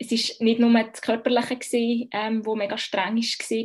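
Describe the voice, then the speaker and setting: A woman speaks with a Bernese accent. Her pitch is fairly high. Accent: Bernese Swiss German. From Switzerland, Bern. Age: 30s. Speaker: midwife. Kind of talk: personal birth story interview. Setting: video call.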